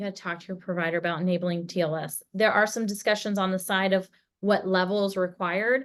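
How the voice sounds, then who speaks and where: A woman speaks at a fairly quick pace with fairly even intonation. The background is quiet. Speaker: email deliverability expert. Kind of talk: webinar presentation. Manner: fast.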